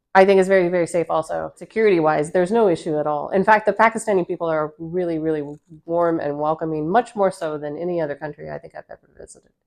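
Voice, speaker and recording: A fairly low-pitched woman with an American accent, talking at a very fast pace with big swings in loudness. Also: ordinary pitch variation. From United States. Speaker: tourist. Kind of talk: interview. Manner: halting.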